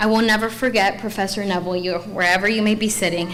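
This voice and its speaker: Against audible room echo, a woman speaks at a medium pitch with fairly even intonation. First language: Spanish. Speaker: law school graduate, student speaker. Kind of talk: commencement speech. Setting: graduation ceremony with audience.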